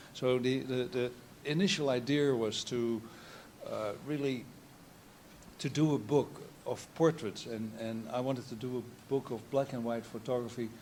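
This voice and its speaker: Pausing long and often, a man with a Dutch accent talks at a moderate pace with ordinary pitch variation. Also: medium pitch for a man. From Netherlands. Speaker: photographer. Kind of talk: artist talk. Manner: halting.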